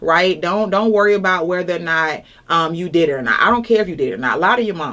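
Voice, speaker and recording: A woman's fairly low voice in an Atlanta accent, very fast and with lively intonation. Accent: Southern US (Atlanta). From Atlanta, Georgia. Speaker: judicial candidate, defense attorney. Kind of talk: interview answer.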